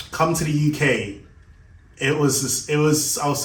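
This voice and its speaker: A man's fairly high voice with audible room echo. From Jamaica. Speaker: shoe business owner. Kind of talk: personal vlog monologue. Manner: casual, halting.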